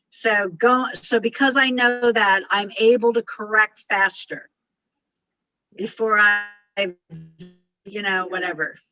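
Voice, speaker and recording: Over music in the background, a woman with a fairly high voice speaks with long, frequent pauses. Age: 60s. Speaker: communication and life coach. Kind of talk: coaching advice on a group call. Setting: group call. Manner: fast; intense.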